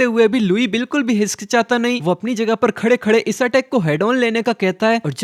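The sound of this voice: The words are read from a text. It is an unforced reading voice.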